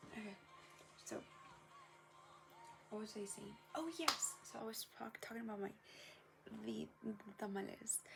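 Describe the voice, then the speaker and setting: Music plays behind a woman who talks at a moderate pace with long, frequent pauses. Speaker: vlogger. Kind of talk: casual vlog chat. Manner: eating while talking.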